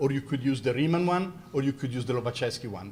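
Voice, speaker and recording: The voice has an Italian accent and is somewhat breathy. It moves at a fairly quick pace with lively intonation. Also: man. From Italy. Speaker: mathematics professor and university president. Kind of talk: lecture Q&A.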